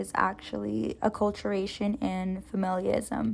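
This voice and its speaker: The speaker is a woman. She talks with a Spanish accent. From US, Mexican-American family. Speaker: student. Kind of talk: class presentation.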